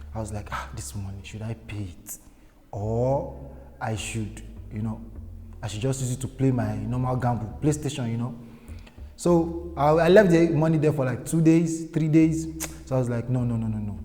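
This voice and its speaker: With a Nigerian accent, a man speaks at a medium pitch with lively intonation and big swings in loudness. Long, frequent pauses break up his speech, and room echo is audible. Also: moderate pace. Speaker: guest storyteller. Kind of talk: personal anecdote. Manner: hesitant, with fillers.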